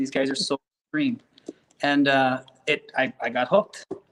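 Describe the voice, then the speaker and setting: Recorded with a dry, close sound and no echo, a man talks with an Upper Midwest accent. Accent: Upper Midwest (Minnesota). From Minnesota. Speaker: realtor and sunflower farm owner. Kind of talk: podcast interview.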